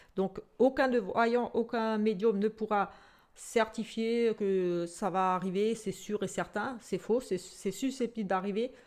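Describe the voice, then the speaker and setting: Against a quiet background, a woman talks at a very slow pace. Her pitch sits in the medium range, with ordinary variation. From Alsace, France (Portuguese descent). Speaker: psychic tarot reader. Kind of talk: casual self-introduction to camera. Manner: hesitant, many fillers.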